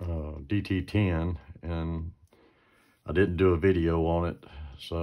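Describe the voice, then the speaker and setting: A man talks in a very deep, low pitch with monotone, flat intonation. The background is quiet. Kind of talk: tutorial. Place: workshop. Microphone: phone near.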